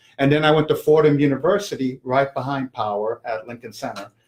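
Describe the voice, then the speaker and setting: With a New York accent, a man talks at a fairly quick pace. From New York City (Manhattan). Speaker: small business owner, cleaning company. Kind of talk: casual interview. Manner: hesitant, many fillers.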